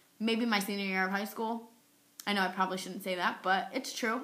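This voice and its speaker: Fairly quick and bright, sharp in tone, a woman speaks at a medium pitch with fairly even intonation. Audible room echo surrounds her voice. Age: 20s. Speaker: epilepsy advocate. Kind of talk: personal testimony vlog. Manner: frequent pauses, occasional stutter.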